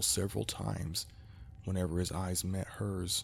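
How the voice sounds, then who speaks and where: This man has a very deep, low pitch, a somewhat breathy quality, and a moderate pace. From Kentucky. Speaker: amateur narrator. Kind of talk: horror story narration.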